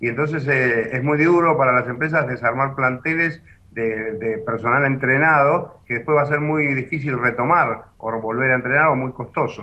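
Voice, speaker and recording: Over light background noise, a man speaks at a moderate pace with fairly even intonation and hardly any pauses. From Argentina. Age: 60s. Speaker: business association president. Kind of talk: news interview. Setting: phone call. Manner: halting. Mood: serious, regretful. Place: office. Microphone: video call.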